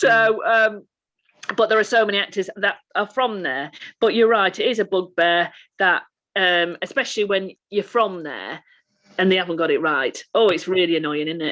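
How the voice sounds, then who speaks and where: With a Lancashire accent, a woman speaks at a moderate pace in a medium pitch and a bright, sharp tone, using ordinary pitch variation and long, frequent pauses against a quiet background. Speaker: actor. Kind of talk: casual chat. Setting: video call.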